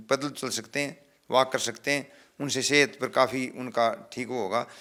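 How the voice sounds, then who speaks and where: A man speaks with a bright, sharp tone. His intonation is fairly even. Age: 70s. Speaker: veteran athlete. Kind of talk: interview.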